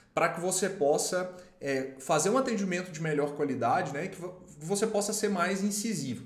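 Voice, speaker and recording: A man's high voice with lively intonation at a moderate pace, with audible room echo. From Brazil, Minas Gerais. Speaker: lawyer and legal marketing YouTuber. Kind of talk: tutorial with sponsored product demo. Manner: casual, conversational with filler words.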